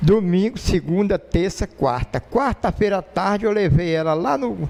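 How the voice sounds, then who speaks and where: A man's high voice comes through noticeable background noise at a fairly slow pace. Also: lively intonation. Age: 60s. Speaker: lay preacher. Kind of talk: sermon. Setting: church.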